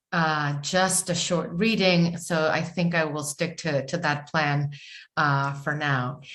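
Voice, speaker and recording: Speaking fairly slowly, a woman talks with a Spanish accent. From Chile. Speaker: writer. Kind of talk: panel discussion. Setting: video call. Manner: halting, many fillers.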